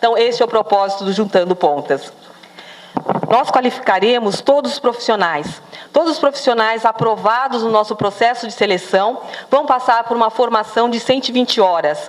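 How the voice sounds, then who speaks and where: A woman talks at a moderate pace with a fairly high pitch. Her pitch variation is ordinary, and noticeable background noise is present. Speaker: project coordinator presenting a social project. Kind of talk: launch event presentation.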